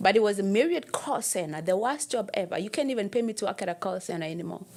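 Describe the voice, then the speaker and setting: A woman with a Kenyan accent talks very fast in an animated tone, her medium-pitched voice full of lively intonation over noticeable background noise. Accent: Kenyan accent, still noticeable. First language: Kenyan mother tongue. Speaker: personal trainer. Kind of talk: interview.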